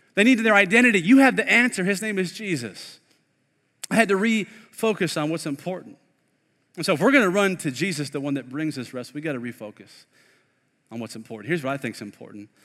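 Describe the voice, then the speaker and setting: A man with a high, bright, sharp voice speaks at a very fast pace with very wide pitch swings. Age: 30s. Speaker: pastor. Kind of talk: sermon. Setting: online streamed church service. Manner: animated.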